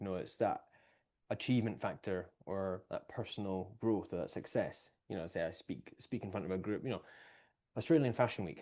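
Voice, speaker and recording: A man with an Edinburgh accent speaks at a fairly low pitch and a moderate pace. His tone is dark and mellow, with ordinary pitch variation, and the background is quiet. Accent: Scottish (Edinburgh). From Scotland, Edinburgh. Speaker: breathwork and performance coach. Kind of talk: casual podcast conversation.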